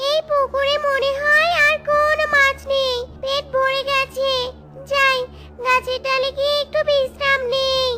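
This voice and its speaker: A cartoonish character voice that sounds female comes out extremely high-pitched, monotone and flat, at a fairly slow pace with light background noise. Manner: defiant.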